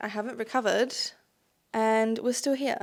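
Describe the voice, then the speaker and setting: A woman speaks with a fairly high pitch. The recording is very clean, with a silent background. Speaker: book vlogger. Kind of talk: casual chat to camera. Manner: fast; animated.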